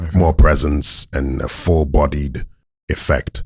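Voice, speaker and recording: Very deep and low in pitch, a man talks at a very slow pace with vocal fry and flat, monotone intonation. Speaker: interview guest with a theater background. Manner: expressive, emotive delivery.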